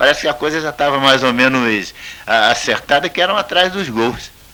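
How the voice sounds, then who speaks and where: A man speaks at a moderate pace with lively intonation over noticeable background noise. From Campinas, São Paulo, Brazil. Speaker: retired football goalkeeper. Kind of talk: radio interview answer.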